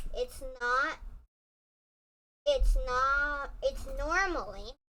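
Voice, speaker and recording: A loud, high-pitched put-on character voice from a woman. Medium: read story. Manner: loud, blunt.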